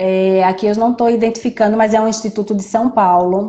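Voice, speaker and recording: A woman with a fairly high pitch and a dark, mellow tone speaks in monotone, flat intonation. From Recife, Brazil. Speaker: judge and live stream moderator. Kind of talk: live stream interview. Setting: online live stream. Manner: hesitant, repeats words.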